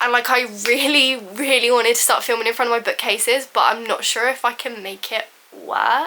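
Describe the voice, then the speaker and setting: Noticeable background noise and a fairly quick pace. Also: woman, high pitch for a woman. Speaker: booktuber. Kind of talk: casual vlog book haul. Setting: home filming room. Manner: fast; animated.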